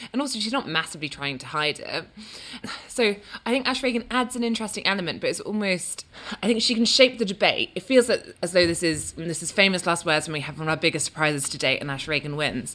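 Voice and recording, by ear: Talking at a very fast pace, a woman has a medium pitch and very wide pitch swings. There is noticeable background noise.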